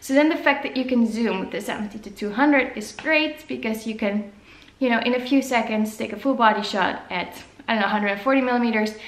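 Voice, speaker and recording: Speaking with a Dutch accent, a woman uses a fairly high pitch and a very fast pace, with ordinary pitch variation. Audible room echo and noticeable background noise come through. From Netherlands. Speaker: photographer. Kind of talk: vlog talk to camera. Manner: casual, filler-heavy.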